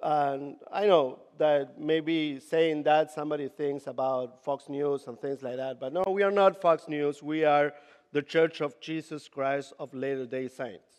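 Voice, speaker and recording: Speaking with a Latin American accent, a man has a fairly high pitch and a fairly slow pace. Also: fairly even intonation. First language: Spanish. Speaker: youth ministry leader. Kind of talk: conference talk. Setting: stage with audience. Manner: halting.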